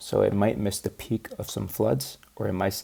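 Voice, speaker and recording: The man's voice is fairly low in pitch, with a dark, mellow tone. Vocal fry comes through, and his pitch variation is ordinary. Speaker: student researcher presenting a project. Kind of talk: practice presentation. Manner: low energy.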